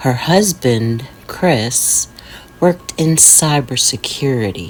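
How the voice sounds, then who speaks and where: Over music in the background, a woman speaks at a very slow pace with very wide pitch swings. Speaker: horror narrator. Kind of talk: horror sleep story. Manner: whispered.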